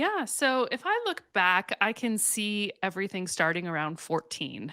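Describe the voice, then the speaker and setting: A woman with a slight Canadian accent speaks at a fairly slow pace and a medium pitch, with lively intonation. Her tone is bright and sharp, and the sound is dry and close with no echo. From western Canada, Calgary, Alberta. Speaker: counselor and faith-based mental health coach. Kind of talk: podcast interview.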